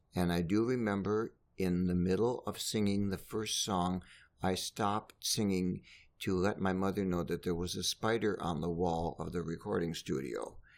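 A man speaks with a very deep, low pitch at a moderate pace. His intonation is fairly even, on a very clean recording with a silent background. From Minnesota. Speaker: conductor and organist. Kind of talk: interview. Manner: halting.

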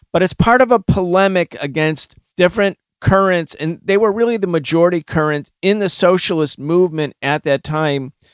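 Heard dry and close with no echo, a high-pitched man speaks with lively intonation. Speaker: podcast host. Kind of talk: political discussion.

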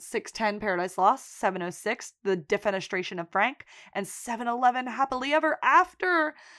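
At a moderate pace, a normal speaking voice carries lively intonation on a very clean recording with a silent background. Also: woman. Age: 20s. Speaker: podcast co-host. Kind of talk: casual chat. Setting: home recording at night.

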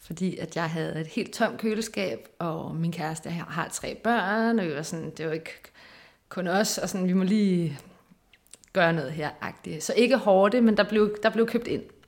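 Speaking fairly slowly, a woman has a normal speaking voice, medium pitch and ordinary pitch variation. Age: 30s. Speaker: research assistant and lecturer. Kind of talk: casual interview.

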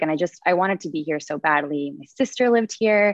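A woman in an ordinary speaking voice, fairly low in pitch, at a fairly quick pace. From Connecticut, with Mexican family. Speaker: life coach. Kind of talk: interview.

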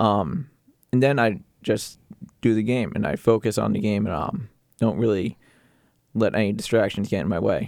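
A man's fairly low voice with vocal fry, at a moderate pace, with ordinary pitch variation and long, frequent pauses. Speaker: sports play-by-play announcer and podcaster. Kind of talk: casual interview. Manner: hesitant, filler-heavy.

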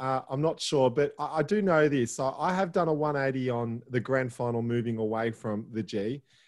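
A man with an Australian accent speaks at a fairly slow pace with hardly any pauses, his pitch fairly high and his intonation lively. The background is quiet. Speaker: podcast co-host. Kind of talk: casual chat.

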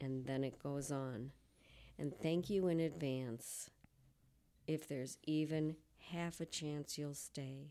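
On a very clean recording with a silent background, a woman speaks at a very slow pace in a very deep, low pitch with fairly even intonation. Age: 60s. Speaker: mental health advocate sharing lived experience. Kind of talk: interview testimony.

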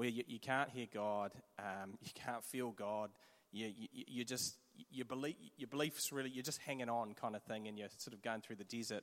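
Someone with a New Zealand accent talks at a moderate pace, keeping a fairly even intonation. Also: man. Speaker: church pastor. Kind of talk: sermon interview. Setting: church with audience.

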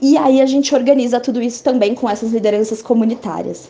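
At a moderate pace, a woman with a fairly high pitch speaks in a dark, mellow tone with ordinary pitch variation. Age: 20s. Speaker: NGO executive director. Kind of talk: interview.

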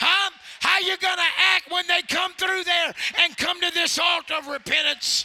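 Ordinary pitch variation at a fairly slow pace, with noticeable background noise behind it. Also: man. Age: 50s. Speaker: traveling evangelist. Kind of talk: fiery Pentecostal revival sermon with call-and-response. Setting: church with congregation. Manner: folksy storytelling with laughter; loud, exhorting shouts urging the congregation on.

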